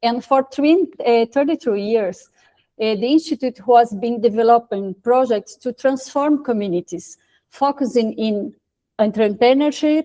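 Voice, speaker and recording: A woman with a Portuguese accent speaks at a fairly slow pace in a high pitch with ordinary variation and a dark, mellow tone, the sound dry and close with no echo. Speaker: social entrepreneur, institute president. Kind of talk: question at online panel event. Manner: halting, hesitant.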